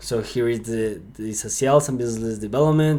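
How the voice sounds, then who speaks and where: An upbeat man with a Spanish accent, medium pitch and ordinary pitch variation. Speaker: sales lead generation consultant. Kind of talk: screen-share tutorial. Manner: halting, with filler words and repeats; casual and upbeat.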